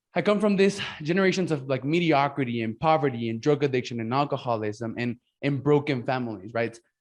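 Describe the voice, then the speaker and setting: Speaking with a Mexican accent, a man talks at a fairly quick pace and a fairly high pitch. His pitch variation is ordinary, and the background is quiet. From Mexico. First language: Spanish. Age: 20s. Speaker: podcast host and business coach. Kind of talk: casual interview chat. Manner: halting, many fillers and restarts.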